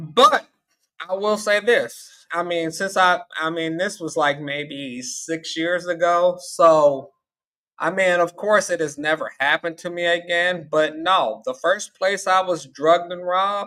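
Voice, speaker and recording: A man with a Southern US accent speaks at a fairly slow pace in a high pitch. His tone is bright and sharp, with ordinary pitch variation. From US South, Tennessee. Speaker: call-in panelist, traveler. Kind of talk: casual call-in panel discussion.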